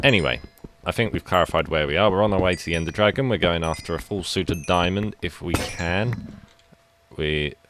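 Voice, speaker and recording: Amid noticeable background noise, a man with a very deep, low pitch speaks with lively intonation. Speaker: gaming youtuber. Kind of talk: gameplay commentary. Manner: halting.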